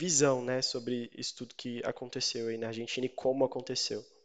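This man speaks at a medium pitch with ordinary pitch variation in an unremarkable speaking voice. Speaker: news podcast host. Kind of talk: interview.

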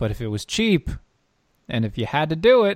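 The recording is very clean, with a silent background and a dry, close sound with no echo. The speaker is a man. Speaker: podcast and radio show host. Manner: casual, chatty.

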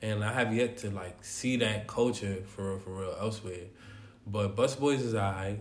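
A man talks at a fairly slow pace with fairly low pitch and fairly even intonation over noticeable background noise. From New York City. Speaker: singer, rapper and spoken word poet. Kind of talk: casual chat.

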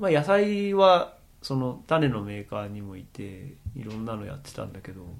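Amid audible room echo, a man talks at a moderate pace with very wide pitch swings and big swings in loudness. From Japan, Akita. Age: middle-aged. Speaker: organic farmer and podcaster. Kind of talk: casual chat.

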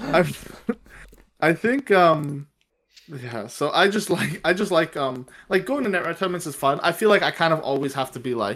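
Over a very clean recording with a silent background, a man with a fairly high voice and vocal fry talks at a moderate pace, leaving long, frequent pauses. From Canadian Prairies. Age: 20s. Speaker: law student and card game player. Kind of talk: casual chat.

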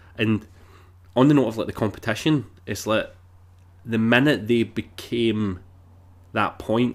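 It is a plain, everyday voice with fairly even intonation. The recording is very clean, with a silent background. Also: man. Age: 30s. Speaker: film podcast host. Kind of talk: casual chat.

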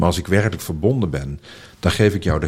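Speaking at a fairly quick pace, a man with a very deep, low pitch uses lively intonation. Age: 40s. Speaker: founder of a school for transition, speaker. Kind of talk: interview conversation. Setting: at a table in person.

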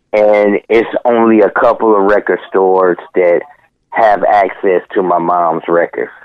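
A man with an American accent and an unremarkable speaking voice talks at a fairly low pitch and a fairly slow pace. His intonation is fairly even and his loudness very even. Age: 50s. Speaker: music producer. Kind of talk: casual chat. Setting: phone call.

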